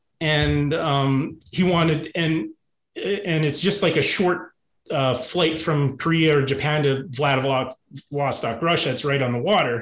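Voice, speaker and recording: At a fairly slow pace, a man with a western Canadian accent talks at a fairly high pitch with ordinary variation and very even loudness. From rural Alberta, Canada. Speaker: YouTube comedy creator, former cruise ship worker; YouTube comedy creator. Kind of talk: casual interview chat. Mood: humorous anecdote telling. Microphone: video call.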